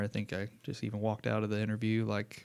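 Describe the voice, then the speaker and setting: Very fast pace, fairly even intonation, and a Southern Indiana accent. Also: man. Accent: Southern Indiana twang. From Southern Indiana, US. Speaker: school principal. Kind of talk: interview. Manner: casual, informal.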